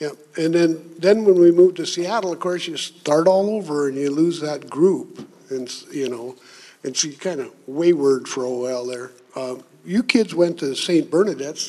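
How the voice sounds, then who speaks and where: A man's plain, everyday voice with an American accent, fairly high pitch, ordinary pitch variation, moderate pace and big swings in loudness. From US Midwest (Minnesota, rural farm). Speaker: retired drywall worker and grandfather. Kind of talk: casual chat.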